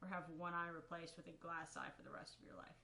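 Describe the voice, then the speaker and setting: A woman speaks with a bright, sharp tone. There is audible room echo. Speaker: gaming youtuber. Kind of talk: casual solo commentary. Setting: at home in own room. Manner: halting, stumbles over words. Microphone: quiet recording.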